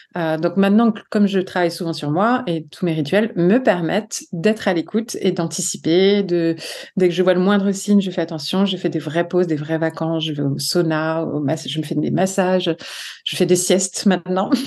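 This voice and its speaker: This woman's voice sits fairly low. Her pitch moves in an ordinary way. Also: moderate pace. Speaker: psychologist and author. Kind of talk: podcast interview. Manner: animated.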